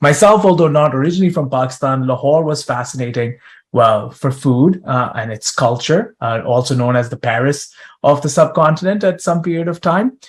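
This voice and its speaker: A man's fairly high, somewhat breathy voice at a fairly quick pace, on a very clean recording with a silent background. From East African Tanzanian diaspora. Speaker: conference session host and researcher. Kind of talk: moderated panel discussion.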